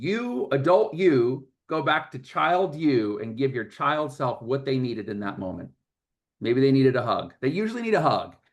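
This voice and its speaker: With an ordinary speaking voice, a man at medium pitch talks at a moderate pace with lively intonation against a quiet background. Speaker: workshop presenter, coach. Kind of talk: workshop talk. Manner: repetitive false starts.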